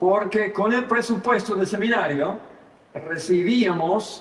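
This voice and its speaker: A man speaks with an American accent. Noticeable background noise and audible room echo fill the recording. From United States. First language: English (speaking Spanish). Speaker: pastor and seminary professor. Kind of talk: sermon. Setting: church service. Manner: halting, frequent fillers and repetitions.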